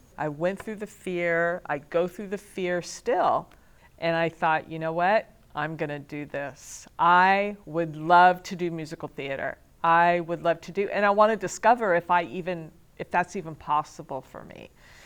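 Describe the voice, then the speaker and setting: Against a quiet background, a woman with a normal speaking voice talks at a moderate pace and fairly low pitch, her intonation fairly even but her loudness swinging widely. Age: 50s. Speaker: student. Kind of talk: testimony.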